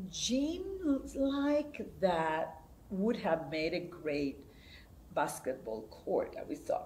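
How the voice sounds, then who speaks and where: A woman's very slow speech over light background noise. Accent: Spanish. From Puerto Rico, Comerío; Puerto Rico. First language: Spanish. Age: 70s. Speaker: theater director. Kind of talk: oral history interview. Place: hall.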